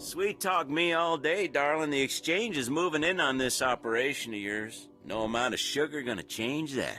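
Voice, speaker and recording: A man's put-on character voice, fairly high and drawling, at a moderate pace, with clear music in the background. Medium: video game. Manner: swaggering, drawling, slangy.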